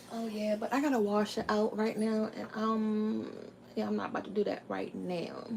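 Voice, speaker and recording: A woman with an American accent, fairly high-pitched, monotone and flat, at a moderate pace over noticeable background noise. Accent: Southern Maryland accent, noticed by viewers. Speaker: family cooking vlogger. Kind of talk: cooking tutorial livestream. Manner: casual, chatty.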